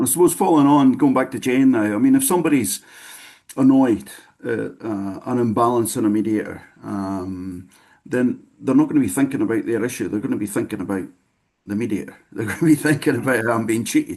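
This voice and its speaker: Speaking at a fairly quick pace, a man uses a medium pitch and a dark, mellow tone, with ordinary pitch variation. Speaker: discussion moderator. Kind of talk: online panel discussion. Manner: fast.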